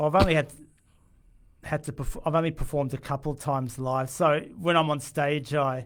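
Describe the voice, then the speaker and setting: This man has an Australian accent and a fairly high pitch. His intonation stays fairly even. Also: moderate pace, very clean recording, silent background. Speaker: musician. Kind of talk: radio interview. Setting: radio studio. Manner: halting, frequent stammered restarts; quiet.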